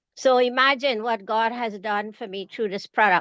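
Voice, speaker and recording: Bright and sharp in tone, the voice shows ordinary pitch variation, recorded dry and close with no echo against a quiet background. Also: woman. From Canada. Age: 70s. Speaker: retiree and evangelist giving a product testimony. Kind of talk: testimony.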